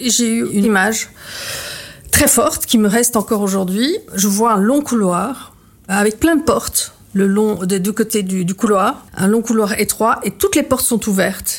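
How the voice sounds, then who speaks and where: At a fairly slow pace, a woman talks with a fairly high pitch and ordinary pitch variation. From Belgium. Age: 50s. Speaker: artist and former journalist. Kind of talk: testimony. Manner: halting.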